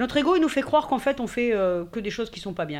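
A woman is speaking. Her voice moves through very wide pitch swings. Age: 50s. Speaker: digital communication consultant and workshop organizer. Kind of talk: casual interview. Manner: hesitant, many fillers.

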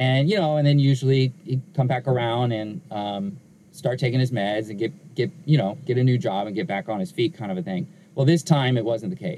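A somewhat breathy, medium-pitched male voice with an American accent. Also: lively intonation, moderate pace. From Southern California, Inglewood. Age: 40s. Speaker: pastor. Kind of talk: interview conversation.

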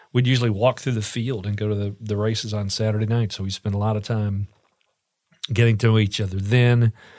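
Monotone and flat, a man's fairly low voice moves at a fairly quick pace. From Kentucky, Richmond. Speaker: radio broadcaster and actor. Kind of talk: casual interview.

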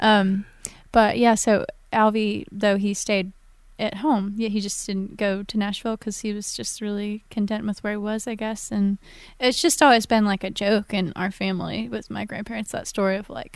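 A woman with an American accent, medium pitch, moderate pace and an unremarkable speaking voice, on a very clean recording with a silent background. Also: fairly even intonation. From Virginia, Allegheny Mountains. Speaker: singer-songwriter. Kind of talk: casual interview.

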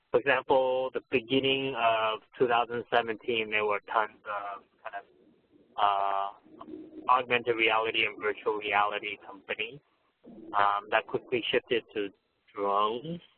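A man with an ordinary speaking voice talks at a fairly slow pace, with a medium pitch and fairly even intonation. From US West Coast, San Francisco Bay Area (born in Taiwan, moved at 10). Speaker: venture capitalist. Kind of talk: interview.

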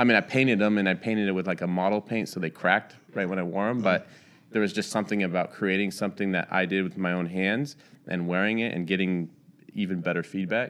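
With an American accent, a man talks very fast in a very deep, low voice with fairly even intonation against a quiet background. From Northern California (Bay Area, Santa Rosa). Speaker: sneaker customizer and shoe designer. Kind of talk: casual interview chat.

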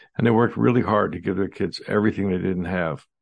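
A man speaks with a very deep, low pitch and vocal fry. His intonation is lively, and the background is quiet. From United States. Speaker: dentist, historian and podcast host. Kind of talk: solo commentary monologue.

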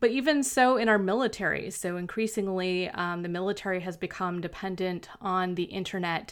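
Speaking in an ordinary speaking voice, a woman keeps a medium pitch with ordinary variation at a moderate pace on a very clean recording with a silent background. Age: 40s. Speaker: fiction author and podcast host. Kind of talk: casual monologue.

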